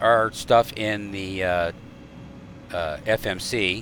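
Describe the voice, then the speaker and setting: Ordinary pitch variation in a man's fairly low-pitched speech. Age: 50s. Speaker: flight simulator video creator. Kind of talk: gameplay commentary. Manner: halting, many fillers; casual, chatty.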